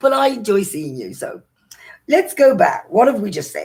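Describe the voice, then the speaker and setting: A woman's somewhat breathy voice in an English accent, at a moderate pace, with very wide pitch swings. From Britain. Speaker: social media vlogger. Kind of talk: live stream chat. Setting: live stream.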